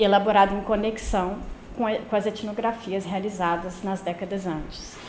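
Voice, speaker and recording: A soft-spoken woman has a medium pitch. Audible room echo surrounds her voice. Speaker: anthropologist giving a talk. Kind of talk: academic lecture read from text. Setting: lecture room, no microphone. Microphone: no microphone.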